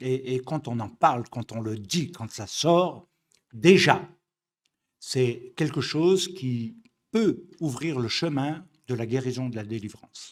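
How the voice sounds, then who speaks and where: At a very slow pace with long, frequent pauses, a man speaks at a medium pitch with lively intonation and big swings in loudness, in a very clean recording with a silent background. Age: 60s. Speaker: messianic rabbi. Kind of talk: religious study lecture. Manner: halting, with many fillers and repetitions.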